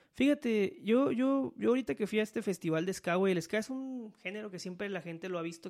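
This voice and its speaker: With a Mexican accent and lively intonation, a man speaks at a fairly quick pace on a very clean recording with a silent background. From Mexico, Veracruz. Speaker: podcast host. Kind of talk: casual chat. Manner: halting.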